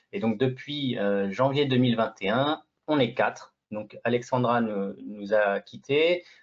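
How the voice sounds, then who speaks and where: A man at medium pitch, speaking very slowly with ordinary pitch variation. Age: 40s. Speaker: real estate agent. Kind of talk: interview. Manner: halting, with many repetitions.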